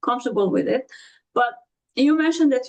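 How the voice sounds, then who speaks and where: A woman with a Romanian accent speaks in a high pitch. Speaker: podcast host. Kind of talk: interview.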